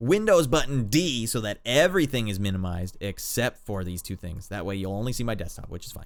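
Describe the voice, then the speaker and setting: The speaker is a man. His pitch is fairly low. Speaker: late night streaming show host. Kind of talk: casual livestream chat. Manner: stuttering, tired at end of long show.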